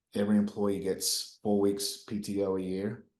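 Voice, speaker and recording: The voice has a dark, mellow tone and a New Zealand accent. The pace is moderate. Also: man. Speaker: company founder and CEO. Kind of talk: podcast interview.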